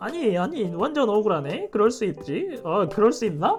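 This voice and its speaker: Amid noticeable background noise, a man's high-pitched voice swings very widely in pitch. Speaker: virtual streamer and illustrator. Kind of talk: casual livestream chat while drawing. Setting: livestream.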